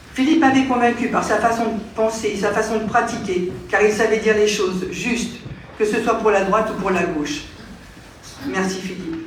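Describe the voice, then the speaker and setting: With audible room echo and noticeable background noise, a woman of fairly high pitch speaks at a moderate pace with ordinary pitch variation. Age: 70s. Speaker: local politician. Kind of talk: farewell speech. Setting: town council meeting. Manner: hesitant.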